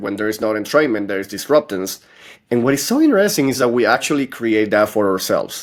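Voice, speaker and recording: In a non-native accent, a man talks with lively intonation. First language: not English. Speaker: podcast host and author. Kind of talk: podcast conversation.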